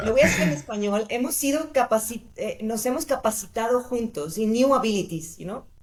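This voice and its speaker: A woman talks at a very fast pace with hardly any pauses. Her voice is fairly high, somewhat breathy and lively in intonation. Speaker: design brand founder. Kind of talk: interview. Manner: halting.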